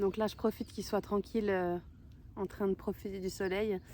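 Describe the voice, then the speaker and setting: Very clean audio with a silent background, carrying a woman's dark, mellow tone. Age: 30s. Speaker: horse owner. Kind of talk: casual talk to camera. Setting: outdoors.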